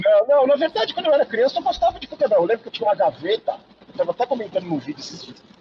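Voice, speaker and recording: A man with an animated tone talks at a very fast pace in an extremely high pitch, with very wide pitch swings and big swings in loudness, over noticeable background noise. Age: 50s. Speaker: sports journalist and YouTuber. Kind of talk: casual chat. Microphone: unstable connection.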